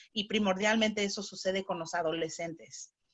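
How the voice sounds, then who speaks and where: Pitch moves in an ordinary way. The delivery keeps a moderate pace. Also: woman. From Chicago, US (Spanish-speaking home). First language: bilingual Spanish-English (speaking Spanish). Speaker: psychotherapist. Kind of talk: interview. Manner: halting, with fillers.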